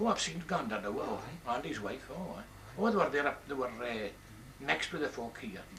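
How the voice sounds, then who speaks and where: A man with a Buchan Scots accent, fairly high-pitched, his pitch swinging very widely, at a fairly quick pace over noticeable background noise. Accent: Buchan Doric Scots. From Buchan, northeast Scotland. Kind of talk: interview answer.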